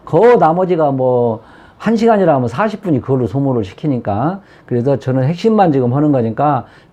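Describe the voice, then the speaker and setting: A dark, mellow tone runs at a fairly quick pace through very wide pitch swings. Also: man. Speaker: saju fortune-telling teacher. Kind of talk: lecture. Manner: fast.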